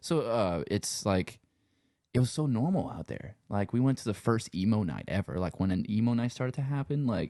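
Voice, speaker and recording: At a moderate pace, a man speaks at a medium pitch with a dark, mellow tone and lively intonation. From Louisiana, Cajun country around Lafayette. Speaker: sound engineer and musician. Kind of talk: casual chat. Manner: relaxed, rambling with many fillers.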